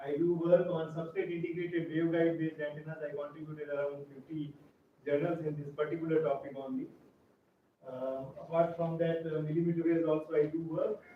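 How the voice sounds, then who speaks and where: Speech at a fairly rapid clip, with noticeable noise behind it. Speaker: engineering professor. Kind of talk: lecture. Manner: loud.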